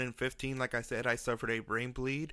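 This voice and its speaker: On a very clean recording with a silent background, a man speaks at a moderate pace and medium pitch, his tone bright and sharp and his intonation monotone and flat. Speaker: podcast host, brain bleed survivor. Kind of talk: personal storytelling podcast. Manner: slightly mumbled, effortful enunciation; casual, halting with fillers.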